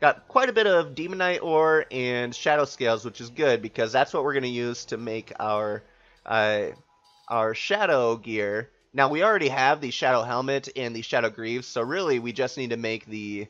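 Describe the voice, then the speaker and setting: Music plays in the background as a man talks at a moderate pace. His pitch sits in the medium range and his intonation is lively. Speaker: gaming video creator. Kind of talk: let's play commentary. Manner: casual, many filler uhs.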